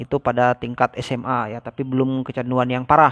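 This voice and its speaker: The sound is close and dry, without any echo. It is a man who speaks. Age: 30s. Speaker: vlogger. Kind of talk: personal story vlog. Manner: casual, hesitant with fillers.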